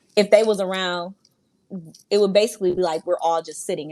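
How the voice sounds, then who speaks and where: Recorded very cleanly against a silent background, a woman talks at a very fast pace. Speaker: podcast guest. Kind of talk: casual chat. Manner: loud.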